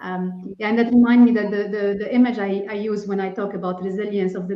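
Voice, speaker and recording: Audible room echo surrounds a woman speaking at a medium pitch with a non-native accent. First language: not English. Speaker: executive leadership coach. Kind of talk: panel discussion.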